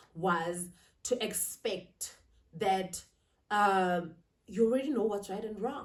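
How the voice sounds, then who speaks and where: A woman with a Zulu accent speaks at a fairly slow pace in a somewhat breathy voice of medium pitch. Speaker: lifestyle vlogger. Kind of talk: sit-down vlog monologue. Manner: casual, code-switching.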